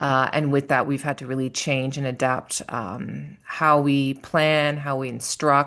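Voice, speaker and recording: This woman's voice is very deep and low, with a Canadian accent and a monotone, flat intonation. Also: quiet background. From Canada, Toronto. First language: French. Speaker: language teacher and instructional coach. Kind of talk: podcast interview.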